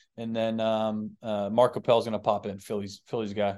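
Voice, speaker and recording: Against a quiet background, a man with an American accent talks at a fairly quick pace. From Boston, US. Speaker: pro baseball pitcher. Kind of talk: casual chat.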